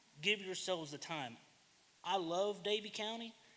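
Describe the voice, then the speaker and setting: Loud and fairly quick, a man talks with an American accent. His tone is bright and sharp, with ordinary pitch variation. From US South. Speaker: public commenter. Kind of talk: public comment at government meeting.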